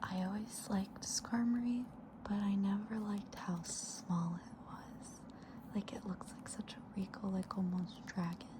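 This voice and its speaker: The speaker is soft-spoken with a gentle tone. The pace is fairly slow, and background noise is noticeable. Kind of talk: ASMR soft-spoken talk to camera about a card collection. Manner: soft-spoken, gentle.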